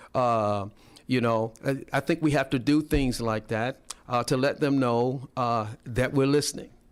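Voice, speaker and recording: At a fairly slow pace, a man talks with medium pitch and fairly even intonation. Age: 60s. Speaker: political candidate. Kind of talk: radio interview. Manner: halting, many fillers.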